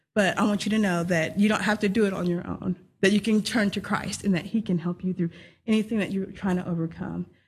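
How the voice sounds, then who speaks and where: Speaking very fast in a monotone, flat delivery with a Texan accent, this somewhat breathy voice sits over a quiet background. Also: woman, medium pitch for a woman. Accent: Texan American. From Texas. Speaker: young missionary. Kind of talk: testimony.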